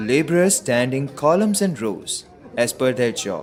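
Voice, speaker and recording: Over noticeable background noise, a man speaks fairly slowly with a fairly high pitch and very wide pitch swings. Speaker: voice actor. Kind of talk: documentary narration.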